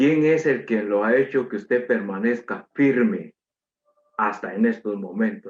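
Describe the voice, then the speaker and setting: Using a normal speaking voice at a medium pitch, a man talks at a fairly slow pace with lively intonation. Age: 60s. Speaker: preacher. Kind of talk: sermon.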